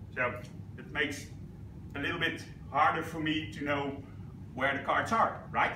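Noticeable noise fills the background. A man speaks at a moderate pace. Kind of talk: casual explanation to a group. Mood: playful, entertaining. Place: classroom.

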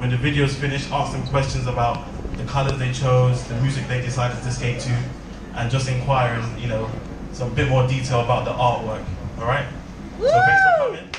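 A man is heard with noticeable background noise and audible room echo. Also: fairly quick pace. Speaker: event host. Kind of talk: speech to an audience. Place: hall.

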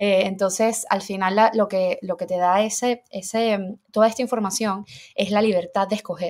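A woman has a plain, everyday voice at a medium pitch. She speaks at a moderate pace. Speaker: nutritionist. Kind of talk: casual interview chat.

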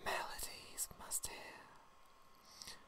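A woman whispers her words at a very slow pace. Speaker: ASMR performer. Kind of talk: soft poetry reading to help sleep. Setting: studio microphone recording. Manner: whispered, slow. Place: home room. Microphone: studio mic.

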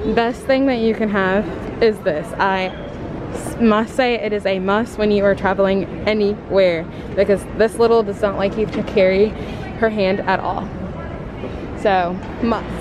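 A woman speaks with fairly even intonation and long, frequent pauses. Noticeable background noise runs beneath her. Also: moderate pace, dry sound with no echo. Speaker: parent vlogger. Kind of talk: casual vlog chat. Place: hall. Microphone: phone near.

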